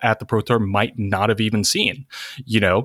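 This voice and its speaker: On a very clean recording with a silent background, a man speaks at medium pitch and a moderate pace. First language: not English. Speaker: guest, Magic player and college student. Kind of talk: casual chat.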